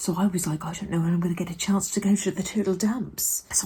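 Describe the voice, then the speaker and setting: Quiet and somewhat breathy, a woman with a British accent talks at a very fast pace with fairly even intonation. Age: 30s. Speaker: vlogger. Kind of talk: casual vlog monologue. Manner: speaking quietly.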